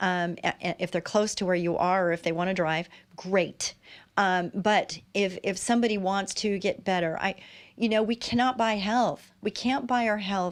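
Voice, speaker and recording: A woman with an ordinary speaking voice, medium pitch, fairly even intonation, very even loudness and a moderate pace, over a quiet background. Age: 60s. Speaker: talk show host. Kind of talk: casual interview chat.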